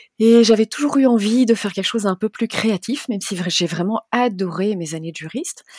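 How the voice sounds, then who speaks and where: In an unremarkable speaking voice, a woman talks at a fairly quick pace with hardly any pauses, her fairly high pitch showing ordinary variation, and the sound is dry and close with no echo. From Belgium. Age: 40s. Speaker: travel blogger. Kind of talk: interview.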